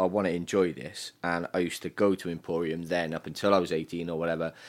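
In a very clean recording with a silent background, a man with a Cardiff accent talks at a fairly quick pace in a very deep, low pitch. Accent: Welsh (Cardiff). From Wales. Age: 30s. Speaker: DJ. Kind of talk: casual chat.

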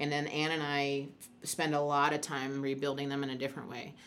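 In an American accent, a woman with a very deep, low pitch and a bright, sharp tone speaks amid audible room echo. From Chicago, US Midwest. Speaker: sports medicine physician. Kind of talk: panel discussion.

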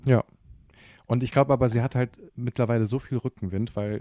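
A man's dark, mellow voice at a fairly quick pace, with fairly even intonation, in a very clean recording with a silent background and a dry, close sound with no echo. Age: 20s. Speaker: stage actor. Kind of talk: casual chat.

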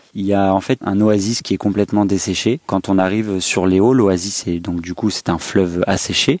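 With a normal speaking voice, a man talks at a moderate pace and fairly low pitch, his intonation fairly even, on a very clean, dry, close recording with a silent background and no echo. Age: 20s. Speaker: vanlifer. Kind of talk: interview.

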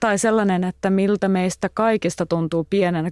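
A woman talks at a moderate pace in a medium pitch, with fairly even intonation and an unremarkable speaking voice. The sound is dry and close, with no echo. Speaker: podcast host and journalist. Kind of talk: casual interview.

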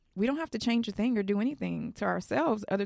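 Against a quiet background, a woman with an American accent talks very fast at a medium pitch. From Texas (Houston). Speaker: influencer and teacher. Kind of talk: interview conversation.

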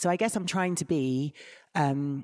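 On a very clean recording with a silent background, a woman with an Essex accent speaks at a moderate pace in a very deep, low pitch, her dark, mellow tone dry and close with no echo and her pitch varying in an ordinary way. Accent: southern English, Essex. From England, Essex. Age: 30s. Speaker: body image and mental health campaigner. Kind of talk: interview conversation.

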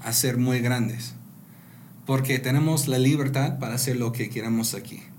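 Spoken with an American accent and fairly even intonation, the voice carries audible room echo. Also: man. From US Pacific Northwest (rural Washington state). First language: English (speaking Spanish). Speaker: entrepreneur. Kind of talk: interview. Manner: halting.

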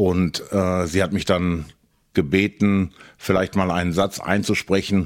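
A man talks with a very deep, low pitch at a very slow pace. His intonation is monotone and flat, and his loudness stays very even. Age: middle-aged. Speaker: collector. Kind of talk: interview. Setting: at his home.

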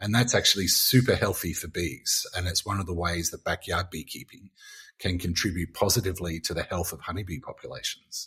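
The man's delivery is fairly quick. The background is silent and the recording very clean. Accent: Australian. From Australia, Gold Coast. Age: 50s. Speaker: beekeeper. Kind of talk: interview.

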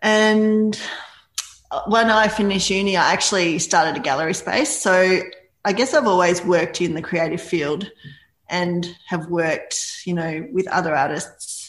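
Audible room echo surrounds a woman speaking in an Australian accent. Her pitch is fairly low with ordinary variation, at a moderate pace. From rural Victoria, Australia. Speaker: artist. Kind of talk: casual interview.

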